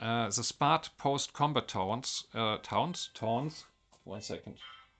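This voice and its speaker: A man with a German accent at medium pitch, very slow pace and ordinary pitch variation, over a quiet background. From Germany. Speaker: mobile game modding content creator. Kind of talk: game tutorial narration.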